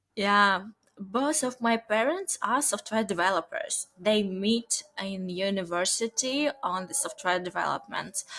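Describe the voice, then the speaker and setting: Her tone bright and sharp, a woman speaks at a fairly slow pace with lively intonation and a medium pitch. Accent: Ukrainian. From Ukraine. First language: Ukrainian or Russian. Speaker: software company founder. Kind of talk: interview. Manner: halting.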